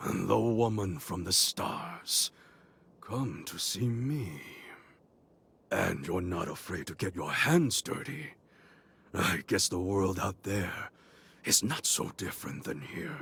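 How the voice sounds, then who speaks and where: In a put-on character voice, a man speaks raspily at a fairly low pitch and a fairly slow pace, with very wide pitch swings and long, frequent pauses, on a very clean recording with a silent background. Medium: video game. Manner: measured, dignified, formal.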